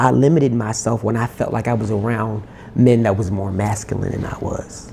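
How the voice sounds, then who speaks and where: A man speaks at a medium pitch and a moderate pace with fairly even intonation, over noticeable background noise and audible room echo. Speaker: R&B singer-songwriter. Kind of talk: interview. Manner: soft-spoken.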